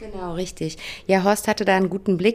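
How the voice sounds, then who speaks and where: A woman of medium pitch speaks at a fairly quick pace with monotone, flat intonation. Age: 30s. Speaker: HR manager at a franchise company. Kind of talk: podcast interview.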